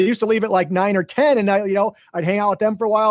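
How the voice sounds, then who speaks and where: A man speaks at a very fast pace. His tone is animated. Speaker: real estate investor and agent. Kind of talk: casual interview chat.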